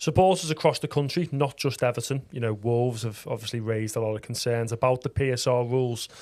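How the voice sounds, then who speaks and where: Here a man of medium pitch talks at a very fast pace. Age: 30s. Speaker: podcast host. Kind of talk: podcast interview.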